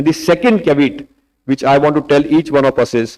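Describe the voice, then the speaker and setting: Lively intonation marks this man's speech. His pitch is fairly high. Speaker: diabetes doctor. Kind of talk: conference debate talk. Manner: fast.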